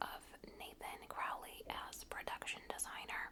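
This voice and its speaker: Whispering at a very slow pace, gentle in tone, with noticeable background noise. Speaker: ASMR content creator. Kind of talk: ASMR reading of an encyclopedia article. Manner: gentle whispers, soft-spoken.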